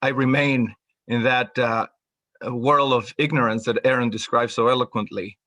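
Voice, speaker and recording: A bright, sharp tone with a Spanish accent, moderate pace and ordinary pitch variation, in a dry, close sound with no echo against a quiet background. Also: man. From Mexico City. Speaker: mathematics professor. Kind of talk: panel discussion.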